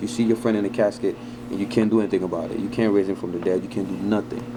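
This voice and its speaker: Over noticeable background noise, a man talks with a fairly low pitch and ordinary pitch variation. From French-speaking country, moved to Harlem, New York at eleven. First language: French. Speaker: fitness vlogger. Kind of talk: casual vlog Q&A. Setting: laundromat. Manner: animated.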